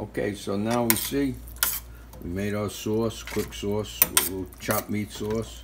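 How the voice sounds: A man talks at a fairly slow pace with fairly even intonation and a fairly low pitch. Clear background noise runs underneath.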